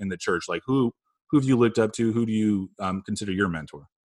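A man speaks at a fairly low pitch with an American accent. The recording is dry and close, with no echo. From Phoenix, Arizona. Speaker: podcast host. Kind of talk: casual interview. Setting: remote recording from home.

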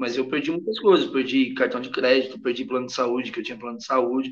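In an ordinary speaking voice, a man with medium pitch and ordinary pitch variation talks at a moderate speed. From Brazil. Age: 40s. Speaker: sertanejo singer. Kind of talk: casual interview.

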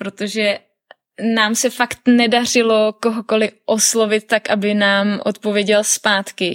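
Her fairly high voice stays monotone and flat at a very slow pace, with very even loudness and a dry, close sound with no echo, as this woman speaks. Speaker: traveller and hiker. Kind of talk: casual interview.

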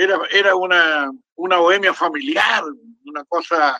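In a Chilean accent, a man speaks at a fairly slow pace with a high pitch and ordinary pitch variation. His tone is bright and sharp, and the sound is dry and close with no echo. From Chile, Santiago. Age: 80s+. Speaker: historian and academic. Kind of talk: casual chat. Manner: halting, many repetitions.

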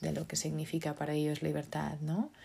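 In a very clean recording with a silent background, a woman speaks in a very deep, low pitch with a Portuguese accent. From Portugal. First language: Portuguese (speaking Spanish). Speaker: podcast host. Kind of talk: solo talk podcast monologue. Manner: hesitant, many fillers.

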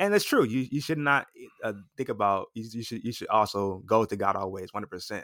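A man with an American accent at a medium pitch, very fast pace, ordinary pitch variation and big swings in loudness, on a very clean recording with a silent background. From Los Angeles, California. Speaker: pastor. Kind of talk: casual interview.

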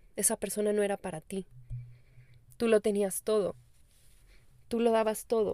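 With a Mexican accent and a fairly high pitch, a woman speaks in a dark, mellow tone at a moderate pace with long, frequent pauses. Her intonation is monotone and flat, and the sound is dry and close with no echo. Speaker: spiritual life coach. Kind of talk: casual podcast monologue.

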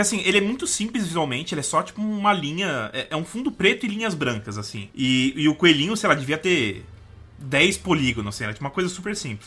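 Speaking at a fairly quick pace, a man with a fairly high pitch and a bright, sharp tone swings his pitch very widely and lets vocal fry creep in. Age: 20s. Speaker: games journalist. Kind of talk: casual chat.

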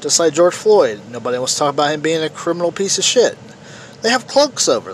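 A man with a high pitch and very wide pitch swings talks at a very fast pace over noticeable background noise. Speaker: political podcast host. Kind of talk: opinion monologue. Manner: halting, repetitive stammering.

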